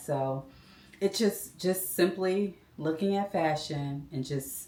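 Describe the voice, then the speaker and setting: A woman with a very deep, low pitch. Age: 50s. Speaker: sneaker style content creator. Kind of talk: casual talk to camera.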